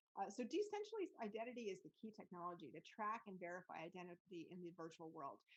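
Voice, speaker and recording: With hardly any pauses, a woman speaks at a very fast pace in a medium pitch. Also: ordinary pitch variation. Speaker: immersive tech consultant and podcaster. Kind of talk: presentation.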